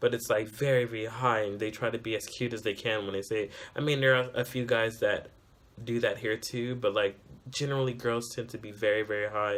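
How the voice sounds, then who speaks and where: Flat and monotone, a man with an American accent talks at a fairly quick pace. His pitch is medium. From California, US. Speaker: vlogger. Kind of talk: casual vlog talk.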